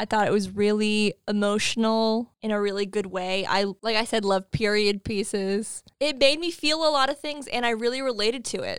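A woman with a fairly high pitch talks in a normal speaking voice at a moderate pace, with ordinary pitch variation and hardly any pauses. The recording is very clean, with a silent background. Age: 30s. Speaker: podcast co-host. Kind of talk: casual chat.

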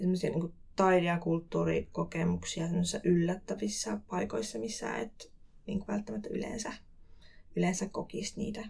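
Using a medium pitch with ordinary variation, a woman speaks with vocal fry. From Finland, Kuopio (Savo). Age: 20s. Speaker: cultural event producer. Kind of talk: casual interview. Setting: studio.

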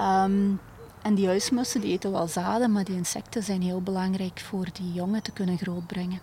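A woman with a Limburg accent speaks at a moderate pace in a medium-pitched, monotone, flat voice. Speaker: bird conservation educator. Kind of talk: interview. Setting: outdoors in a garden.

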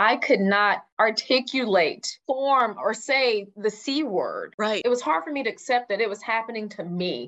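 Fairly high in pitch, a woman with an American accent speaks in an unremarkable speaking voice. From Texas, Houston. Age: 30s. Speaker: nonprofit founder, breast cancer survivor, media professional. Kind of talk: interview testimony.

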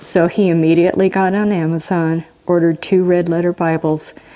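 A woman with an American accent at a fairly low pitch, moderate in pace and monotone, flat in intonation. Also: very even loudness. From Washington state, US. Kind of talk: testimony.

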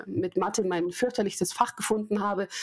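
At a moderate pace with ordinary pitch variation, this is a plain, everyday voice. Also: woman. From Munich, Bavaria. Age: 30s. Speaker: learning and development consultant, former TV presenter. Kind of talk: podcast interview.

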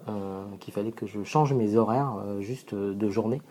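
Fairly low in pitch, a man speaks at a fairly slow pace with ordinary pitch variation. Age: 40s. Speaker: social entrepreneur, founder of coding schools. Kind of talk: monologue sharing advice. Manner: hesitant with frequent fillers.

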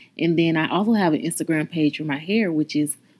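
Here is a woman with a plain, everyday voice. Her pitch is fairly low, with ordinary pitch variation. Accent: American. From North Carolina. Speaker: podcast host and natural hairstylist. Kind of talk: podcast intro monologue.

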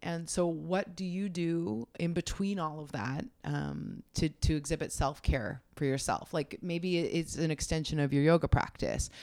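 The speech moves at a fairly slow pace with hardly any pauses and ordinary pitch variation, recorded very cleanly against a silent background. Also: woman, very deep, low pitch for a woman. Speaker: podcast host. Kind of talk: casual interview chat.

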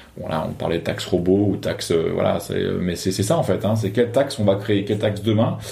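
Words come at a very fast pace from a man whose pitch sits fairly low. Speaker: researcher and former deputy MP. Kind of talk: interview.

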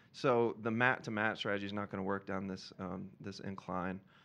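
Against a quiet background, a man talks in a fairly low pitch. He speaks with an American accent. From US South, Georgia. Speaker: storyteller, documentary filmmaker. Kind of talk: live storytelling. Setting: stage with audience.

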